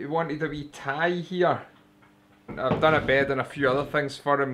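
A man with a Scottish accent speaks in a monotone, flat intonation. His pitch is fairly high, with light background noise behind him. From Scotland. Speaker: furniture maker. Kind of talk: casual talk to camera. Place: workshop. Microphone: lapel.

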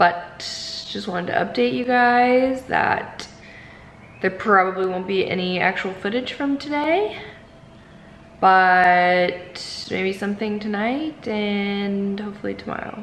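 A woman talks at a fairly slow pace. The recording has light background noise and audible room echo. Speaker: travel vlogger. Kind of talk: casual vlog chat. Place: home room. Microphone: phone near.

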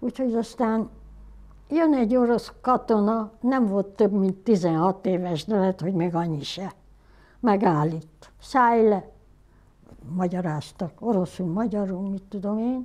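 Her tone dark and mellow, a woman talks at a fairly slow pace with long, frequent pauses. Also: ordinary pitch variation. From Hungary. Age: 80s+. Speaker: photographer. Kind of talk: documentary interview answer. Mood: somber, reflective storytelling. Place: home room.

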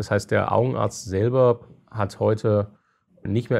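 A man with vocal fry speaks fairly low, in a dark, mellow tone. His intonation is fairly even, and the background is quiet. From eastern Germany, Halle (Saale). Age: 40s. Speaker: company founder and CEO. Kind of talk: interview.

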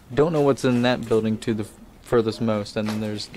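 A man speaks with fairly even intonation. Light background noise is present. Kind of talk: casual vlog commentary. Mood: relaxed, joking. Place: open country. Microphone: phone near.

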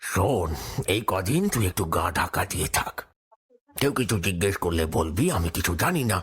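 This man uses a cartoonish character voice. It is very deep and low in pitch. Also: moderate pace, very even loudness.

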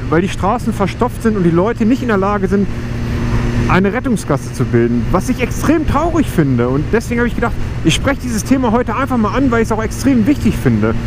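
A high-pitched man talks at a very fast pace with very wide pitch swings. The sound is dry with no echo, but background noise is noticeable. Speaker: motorbike vlogger. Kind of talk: casual vlog chat. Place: motorbike.

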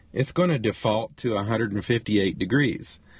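A man speaks at a fairly quick pace in a fairly low, somewhat breathy voice. His pitch varies in an ordinary way. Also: dry sound with no echo. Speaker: RV travel vlogger. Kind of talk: tutorial. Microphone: phone near.

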